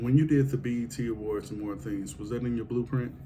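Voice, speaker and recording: A man's voice, showing ordinary pitch variation, carries audible echo from the room. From Kansas City, Missouri. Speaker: podcast host. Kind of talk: casual interview chat.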